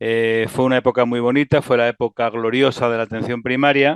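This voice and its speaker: A man's medium-pitched, monotone voice with flat intonation at a fairly quick pace, dry and close with no echo against a quiet background. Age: 60s. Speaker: physician and health IT executive. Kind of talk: interview.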